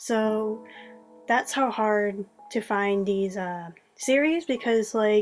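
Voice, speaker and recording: A woman talks with music in the background. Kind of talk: casual video review voiceover. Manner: unscripted, hesitant with many fillers.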